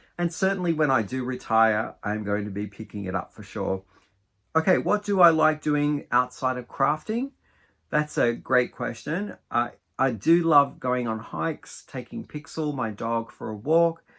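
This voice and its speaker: With an Australian accent, a man speaks at medium pitch and moderate pace, his bright, sharp tone making very wide pitch swings in a very clean recording with a silent background. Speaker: craft vlogger. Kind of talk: casual Q&A vlog.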